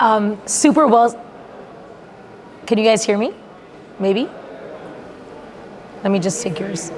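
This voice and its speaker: A woman's fairly high voice at a fairly slow pace with ordinary pitch variation, amid noticeable background noise. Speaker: panel moderator. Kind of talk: panel discussion. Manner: loud.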